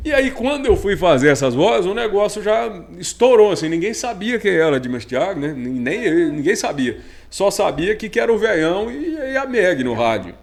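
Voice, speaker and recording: A man's high voice with very wide pitch swings, at a moderate pace. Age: young. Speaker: rodeo announcer and radio broadcaster. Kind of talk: casual interview chat.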